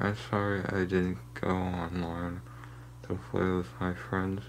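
A man's very deep, low voice with very wide pitch swings, amid noticeable background noise and audible room echo. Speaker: youtuber. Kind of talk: casual vlog. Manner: woozy, halting.

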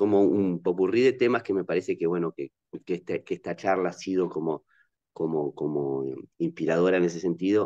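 The voice has a dark, mellow tone and ordinary pitch variation. The background is quiet. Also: man, very deep, low pitch for a man, fairly quick pace. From Uruguay. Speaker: audience member asking question; audience member. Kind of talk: academic Q&A. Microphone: video call.

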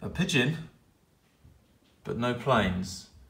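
A man speaks at a very slow pace. The recording has audible room echo and light background noise. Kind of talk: casual vlog chat. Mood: wry, lighthearted. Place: home room. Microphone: phone near.

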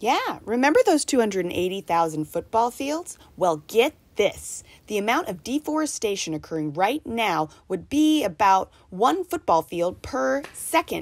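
A woman at a fairly slow pace with very wide pitch swings. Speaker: educational presenter. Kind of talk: scripted educational dialogue. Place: open country.

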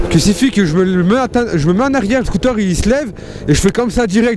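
A man talks at a fairly quick pace with a high pitch and lively intonation. The sound is dry with no echo, though background noise is noticeable. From France. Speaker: scooter vlogger. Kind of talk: casual vlog. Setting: outdoors riding a scooter at night. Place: motorbike. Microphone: helmet.

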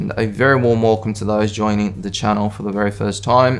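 A man's fairly low-pitched voice over faint background music. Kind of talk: tutorial. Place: kitchen.

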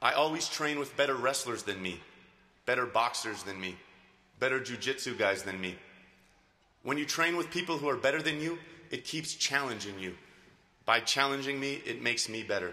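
His intonation is lively. The man's delivery comes at a fairly quick pace. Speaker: speaker. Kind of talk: commencement speech. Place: hall. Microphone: podium.

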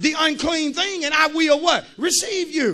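Shouting at an extremely high pitch, a man speaks at a moderate pace in an animated, bright, sharp tone with ordinary pitch variation. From United States. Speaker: pastor. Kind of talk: fiery call-and-response sermon, preaching to a live congregation. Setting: church. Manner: animated and emphatic, urging the crowd with Come on, somebody; conversational, folksy asides with repeated punchlines. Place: church. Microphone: handheld.

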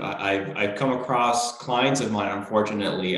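Over a quiet background with audible room echo, a man speaks with fairly even intonation. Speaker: business show host. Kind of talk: interview conversation. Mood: friendly, smiling. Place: home room.

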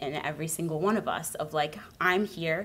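Speaking with an American accent, a woman shows ordinary pitch variation. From US Midwest. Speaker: conference attendee. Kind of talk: personal testimony. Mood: warm, earnest, smiling. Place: hall. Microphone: podium.

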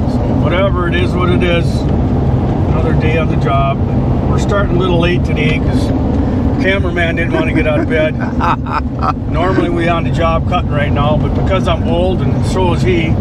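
A man at a fairly quick pace, dry with no echo, against loud background noise. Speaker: logger vlogger. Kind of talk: casual vlog chat. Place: car. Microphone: phone near.

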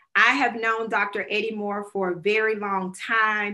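Very slow female speech with a Southern US accent and a bright, sharp tone over a quiet background. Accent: US South. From Alabama, Talladega County; Alabama. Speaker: nonprofit director and moderator; moderator. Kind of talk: panel moderation.

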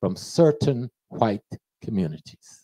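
A man's dark, mellow voice with very wide pitch swings at a moderate pace, dry and echo-free against a quiet background. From United States. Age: 70s. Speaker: professor and lecturer; professor, lecturer. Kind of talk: lecture. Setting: stage with audience. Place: shop. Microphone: handheld.

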